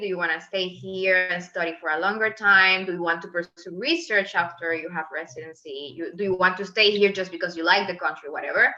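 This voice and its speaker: A woman with a Venezuelan accent, medium pitch, and a moderate pace. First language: Spanish. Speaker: medical resident. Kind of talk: interview.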